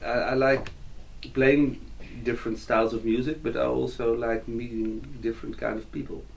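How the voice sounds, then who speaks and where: A man with a Dutch accent at a moderate pace, with audible room echo. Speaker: musician and composer. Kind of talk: interview. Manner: halting.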